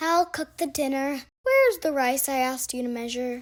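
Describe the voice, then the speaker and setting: A woman puts on a character voice, high in pitch, and talks at a moderate pace. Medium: read story.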